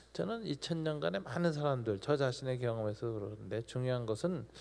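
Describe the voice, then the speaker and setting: This is a man speaking at a medium pitch. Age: 60s. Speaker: pastor. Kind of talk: Q&A at a youth talk concert.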